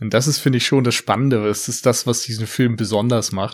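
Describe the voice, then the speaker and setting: A man talks in a plain, everyday voice at medium pitch. He goes at a fairly quick pace with ordinary pitch variation. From rural Germany. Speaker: film podcaster. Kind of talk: casual chat. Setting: remote call.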